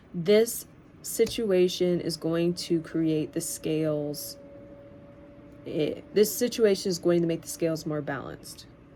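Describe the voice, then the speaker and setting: A woman talks in a plain, everyday voice at a fairly low pitch. Her pace is fairly slow, with ordinary pitch variation. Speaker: tarot reader. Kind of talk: tarot reading.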